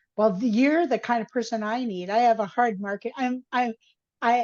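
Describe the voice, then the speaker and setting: A woman with a plain, everyday voice and a fairly high pitch talks at a moderate pace with ordinary pitch variation. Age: 60s. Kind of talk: casual interview chat.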